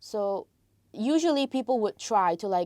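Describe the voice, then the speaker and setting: A woman's very slow, dark, mellow voice at medium pitch with lively intonation, in a very clean recording with a silent background and a dry, close sound with no echo. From Malaysia. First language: Tamil. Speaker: international film student. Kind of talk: casual interview. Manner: hesitant with fillers.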